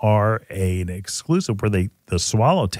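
A man with a fairly low pitch, dry sound with no echo, and a quiet background. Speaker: gardening radio host. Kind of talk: radio show explanation. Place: studio. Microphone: studio mic.

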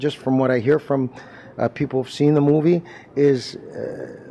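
A man talks at a moderate pace, with light background noise behind him. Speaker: actor. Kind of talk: interview answer. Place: hall. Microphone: handheld.

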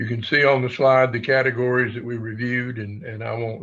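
A man talks in a medium pitch. His intonation stays flat and monotone. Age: 70s. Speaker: task force member presenting to school board. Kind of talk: formal presentation. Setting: school board meeting. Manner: halting, many fillers.

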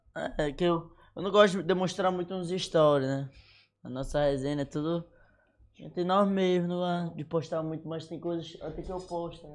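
With a high pitch and fairly even intonation, a man talks at a moderate pace over a quiet background, his loudness swinging widely. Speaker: social media influencer; podcast guest. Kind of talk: casual chat. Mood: relaxed, laughing. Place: studio. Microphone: studio mic.

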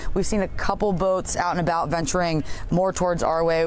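A woman talks fairly quickly at a fairly low pitch. The sound is dry with no echo, and there is light background noise. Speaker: TV news field reporter. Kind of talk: live news report. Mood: serious, somber. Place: waterside.

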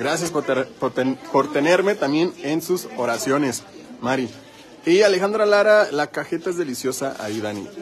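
Noticeable background noise sits behind a man speaking at a moderate pace. His tone is animated, and his pitch swings very widely. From Michoacán, Mexico. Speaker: live-stream vlogger. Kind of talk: live stream walking tour chat. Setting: outdoors. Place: market. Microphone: phone near.

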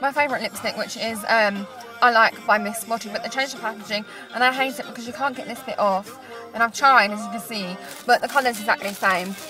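Clear music plays in the background as a woman talks at a very fast pace with fairly even intonation. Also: dry sound with no echo. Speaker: vlogger. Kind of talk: casual vlog chat. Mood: self-conscious, awkward, giggly. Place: car. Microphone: phone near.

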